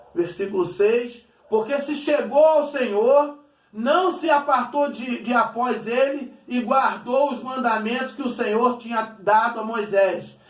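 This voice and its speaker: In a room with audible echo, a man speaks at an extremely high pitch and a very slow pace, with ordinary pitch variation. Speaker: pastor. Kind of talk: sermon.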